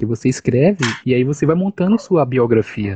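A man's somewhat breathy voice at a medium pitch, at a moderate pace. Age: 30s. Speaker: live stream host discussing academic life. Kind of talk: casual discussion. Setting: online live stream.

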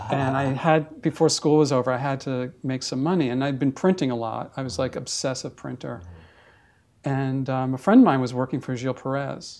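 Speaking with a New York accent, a man keeps a moderate pace, a medium pitch and fairly even intonation. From New York, Brooklyn. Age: 50s. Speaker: photographer. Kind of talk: casual interview. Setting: at his home.

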